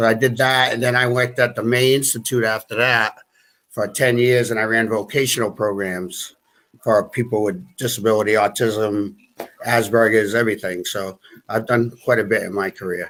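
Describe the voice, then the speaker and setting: A man speaks with a Boston accent and fairly even intonation. The recording is very clean, with a silent background. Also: medium pitch for a man, moderate pace. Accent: Boston-area New England. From US Northeast, New Bedford, Massachusetts. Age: 50s. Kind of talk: interview. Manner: halting.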